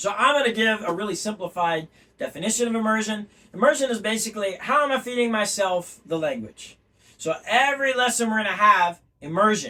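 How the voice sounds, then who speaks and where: Raised and projected, a man's high-pitched voice moves at a fairly quick pace with an animated tone and ordinary pitch variation. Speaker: language teacher. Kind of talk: lecture.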